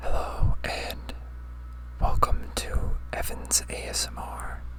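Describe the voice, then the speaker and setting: A man talks at a very slow speed. Noticeable background noise runs behind him. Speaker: ASMR content creator. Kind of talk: ASMR whisper ramble with eating sounds. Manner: soft-spoken, casual, rambling.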